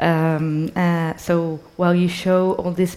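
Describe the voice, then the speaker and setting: A woman with a Spanish accent has a fairly low pitch and a dark, mellow tone. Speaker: culture and sustainability expert, moderator. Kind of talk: onstage interview. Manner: hesitant, many fillers.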